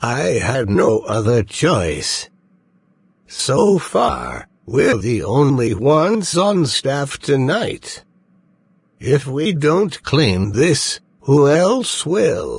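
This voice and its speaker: The speaker uses a cartoonish character voice. The pace is very slow. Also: man, fairly high pitch for a man. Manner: weary, resigned.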